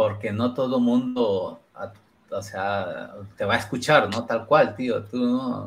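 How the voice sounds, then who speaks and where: Very slowly, a man speaks in a somewhat breathy voice. His intonation is fairly even. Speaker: podcast host. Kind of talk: casual chat. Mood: friendly, smiling. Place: home room. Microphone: headset.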